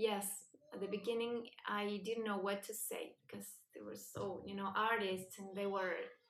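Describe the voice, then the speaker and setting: A woman with a Spanish accent talks at a moderate pace, using a medium pitch and fairly even intonation. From Argentina, Buenos Aires. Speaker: singer-songwriter. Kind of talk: interview.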